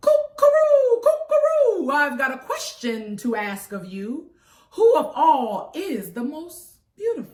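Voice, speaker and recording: Putting on a character voice, a woman speaks fairly slowly in a high, sing-song tone with big swings in loudness. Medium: read story. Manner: sing-song cooing.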